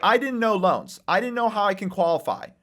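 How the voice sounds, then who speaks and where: The recording is very clean and the background silent. A man talks with a non-native accent. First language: not English. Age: 20s. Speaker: real estate investor and author. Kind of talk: podcast interview. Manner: casual.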